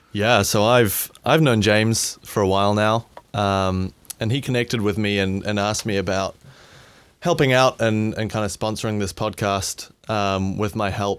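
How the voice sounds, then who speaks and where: A man with a New Zealand accent speaks at a moderate pace, his fairly low voice held to fairly even intonation. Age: 20s. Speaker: sound engineer. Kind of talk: casual chat.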